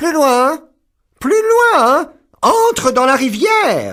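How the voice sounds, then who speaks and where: Putting on a character voice, the man talks very slowly at an extremely high pitch. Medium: read story. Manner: harsh, scolding.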